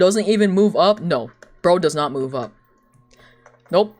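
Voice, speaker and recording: Speaking with a non-native accent at a fairly slow pace, the voice carries an animated tone. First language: not English. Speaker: streamer and artist. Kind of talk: casual chat.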